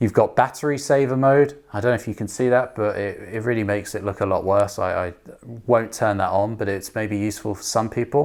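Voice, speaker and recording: A man's normal speaking voice at medium pitch, with ordinary pitch variation and a fairly quick pace, on a very clean recording with a silent background. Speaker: app co-founder demonstrating language app. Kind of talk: tutorial.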